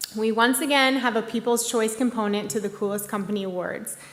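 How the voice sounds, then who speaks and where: With audible room echo, a woman speaks at a moderate pace in a fairly high pitch and fairly even intonation. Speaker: executive director of a tech industry group, award presenter. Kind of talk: award ceremony presentation. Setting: stage at live-broadcast museum event. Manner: hesitant, many fillers.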